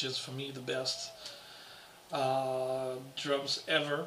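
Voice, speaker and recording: There is audible room echo and noticeable background noise as a man with a French accent speaks at a fairly high pitch. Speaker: guitarist and guitar teacher. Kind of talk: casual video Q&A. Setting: home apartment. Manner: halting.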